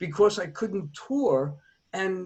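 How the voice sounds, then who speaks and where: The speech moves at a very slow pace. Its intonation is lively, with an American accent. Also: man. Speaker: author. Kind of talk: podcast interview.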